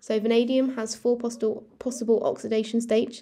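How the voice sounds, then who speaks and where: With a British accent, a woman speaks fairly quickly in a fairly high voice with a dark, mellow tone. Her intonation stays fairly even on a very clean recording with a silent background. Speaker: student revision youtuber. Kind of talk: tutorial. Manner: halting, with fillers and self-corrections.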